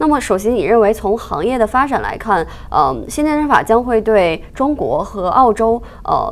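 A woman speaks at a moderate pace with a fairly high pitch. She has a normal speaking voice. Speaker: news show host. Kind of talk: interview. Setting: studio. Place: studio.

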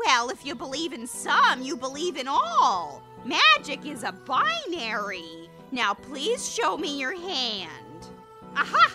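A high-pitched, put-on character voice speaks at a fairly slow pace over clear background music. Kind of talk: comic overacting. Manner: theatrical, showy, impatient.

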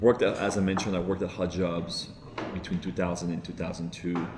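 A man with a French accent speaks at a very deep, low pitch. Noticeable background noise can be heard. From France. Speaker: tech entrepreneur. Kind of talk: interview answer. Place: office. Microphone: lapel.

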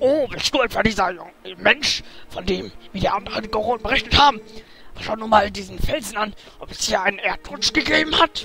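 A man uses a put-on character voice at a high pitch and a moderate pace. Long, frequent pauses break up his speech over faint background music. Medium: game stream.

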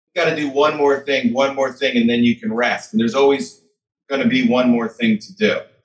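With lively intonation and a fairly quick pace, a man speaks in a fairly high voice against a quiet background. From US Midwest, Chicago. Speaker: author; podcast guest. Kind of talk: interview. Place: home room. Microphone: webcam.

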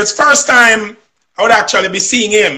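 A man with a Jamaican accent projects a raised, bright, sharp voice at an extremely high pitch and moderate pace against a quiet background. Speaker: singer. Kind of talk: interview answer, storytelling. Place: home room. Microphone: video call.

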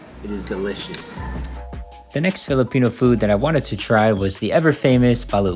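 Over faint music in the background, a man talks at a moderate pace. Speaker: food vlogger. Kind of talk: casual vlog chat.

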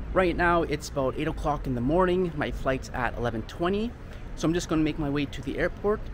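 A man talks at a fairly quick pace with lively intonation over light background noise. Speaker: travel vlogger. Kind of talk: casual vlog chat. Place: street. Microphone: phone near.

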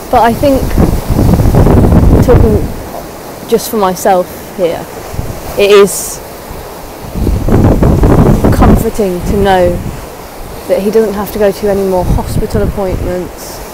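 A woman speaks at a fairly slow pace, with long, frequent pauses. The sound is dry with no echo, though loud background noise is present. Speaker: vlogger. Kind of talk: casual vlog chat. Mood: grieving, subdued. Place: waterside. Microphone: earbuds.

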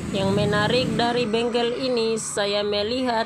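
In a room with audible echo and noticeable background noise, a woman talks at a fairly slow pace in a playful tone. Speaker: vlogger. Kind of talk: vlog narration. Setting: roadside bicycle repair shop. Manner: casual, playful.

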